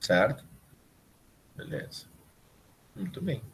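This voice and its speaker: This man's fairly high voice swings very widely in pitch, sounding somewhat breathy at a moderate pace. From southern Brazil, Rio Grande do Sul interior. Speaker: university professor. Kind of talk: online lecture. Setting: live remote class video call.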